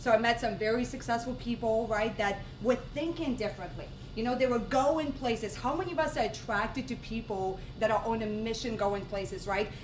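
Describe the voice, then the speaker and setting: A woman with a fairly high voice talks at a fairly quick pace in an animated tone with ordinary pitch variation. Audible room echo and noticeable background noise accompany her. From Russia. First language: Russian. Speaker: network marketing speaker. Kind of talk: sales pitch. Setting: stage with audience.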